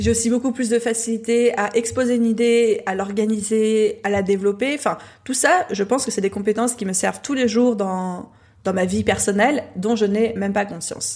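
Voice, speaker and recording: A woman talks in a normal speaking voice at a fairly high pitch. Her pace is moderate and her intonation fairly even. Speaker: entrepreneur and podcaster. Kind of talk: testimony.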